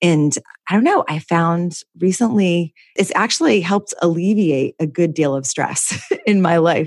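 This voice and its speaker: A woman with a normal speaking voice and a fairly low pitch talks at a fairly slow pace. Her pitch varies in an ordinary way, and the sound is dry and close with no echo. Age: 30s. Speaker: podcast host. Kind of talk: casual interview.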